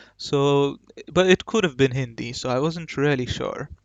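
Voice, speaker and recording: A man talks at a moderate tempo in a fairly high register, his pitch varying in an ordinary way. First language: Marathi. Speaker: gaming YouTuber. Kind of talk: gameplay commentary. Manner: casual, hesitant with fillers.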